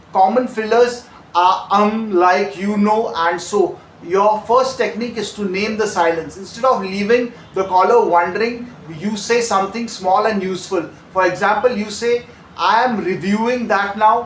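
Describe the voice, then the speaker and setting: Against noticeable background noise, a man speaks at a moderate pace with a high pitch and fairly even intonation. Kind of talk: call center training narration. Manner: calm, clear, instructional.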